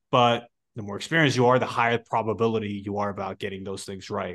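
Against a quiet background, a man at medium pitch talks at a very fast pace. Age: 20s. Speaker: podcast host. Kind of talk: interview.

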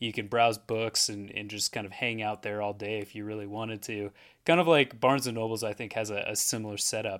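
Here a man with a West Coast accent and a fairly low pitch speaks at a fairly quick pace. His intonation is fairly even, on a very clean recording with a silent background. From Portland, Oregon. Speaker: life coach. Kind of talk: solo podcast monologue. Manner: repeats words, hesitant.

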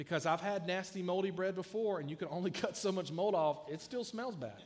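A man with a Southern US accent talks at a high pitch with ordinary pitch variation. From US South (South Georgia). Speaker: youth pastor. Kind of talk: sermon. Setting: church.

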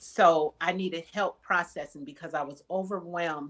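Speaking fairly slowly, a woman has a plain, everyday voice with ordinary pitch variation. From US Midwest, Wisconsin. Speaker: mental health counselor. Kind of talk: interview.

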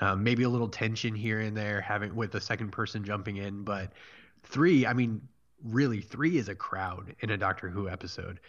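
Speaking at a moderate pace, a man uses a normal speaking voice with a fairly low pitch. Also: ordinary pitch variation. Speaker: podcast host. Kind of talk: casual chat. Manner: laughs often.

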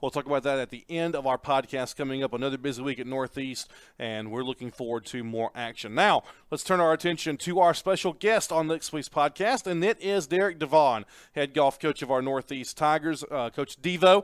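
A man with an unremarkable speaking voice, fairly high in pitch, at a fairly quick pace with ordinary pitch variation, in a dry, close sound with no echo on a very clean recording with a silent background. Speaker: college sports podcast host. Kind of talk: sports podcast chat and interview. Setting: studio.

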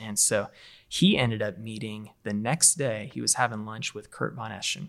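With an American accent and vocal fry, a man talks at a fairly low pitch and moderate pace. His pitch varies in an ordinary way, and the recording is very clean with a silent background. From Las Vegas, US West. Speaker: campus pastor. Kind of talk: casual chat. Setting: studio.

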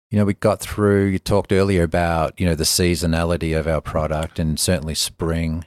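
An Australian accent with fairly even intonation, dry and close with no echo, on a very clean recording with a silent background. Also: man. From Melbourne, Australia. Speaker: spa company businessman. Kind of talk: casual interview chat. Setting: in person, Bozeman. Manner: conversational, relaxed.

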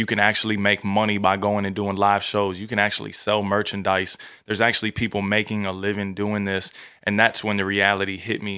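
A man with an American accent, fairly low pitch, monotone, flat intonation and a fairly quick delivery. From Virginia (Newport News). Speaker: school assembly speaker and musician. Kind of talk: casual interview.

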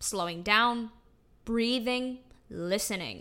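This woman has a fairly high pitch and a bright, sharp, upbeat tone, with an American accent. Her pitch varies in an ordinary way, and the recording is very clean with a silent background. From Utah, US. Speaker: podcast host, actor and singer. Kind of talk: solo podcast monologue. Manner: casual, upbeat with frequent laughs.

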